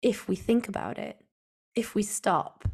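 A woman with a northern English accent speaks at a moderate pace on a very clean recording with a silent background. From Northwest England. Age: 40s. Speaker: physiotherapist and clinical educator. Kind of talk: casual interview.

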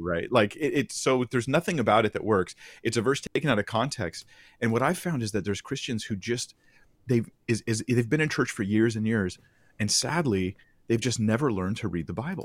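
A man's medium-pitched voice with lively intonation at a fairly quick pace, on a very clean recording against a silent background. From California. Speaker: Bible teacher and online video creator. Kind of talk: casual theological discussion.

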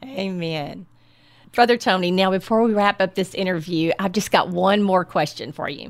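A woman speaks with a Texan accent at a medium pitch. Her pace is moderate and her pitch variation ordinary. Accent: Texan Southern. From Southeast Texas. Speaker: podcast host, health coach. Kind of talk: interview. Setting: on location at church.

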